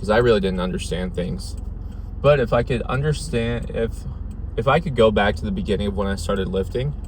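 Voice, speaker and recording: A man with a fairly low voice talks at a fairly quick pace with very wide pitch swings, with audible room echo and noticeable background noise. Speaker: fitness vlogger. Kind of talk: vlog monologue. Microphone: dead mic, poor audio quality.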